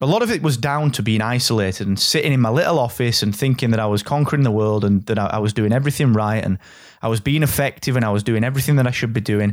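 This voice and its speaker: A very fast male voice at medium pitch, in a northern English accent, with ordinary pitch variation, very even loudness, and a very clean recording over a silent background. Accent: broad northern English. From northern England. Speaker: podcast host and business mentor. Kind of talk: solo business advice monologue. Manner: animated; straight-talking.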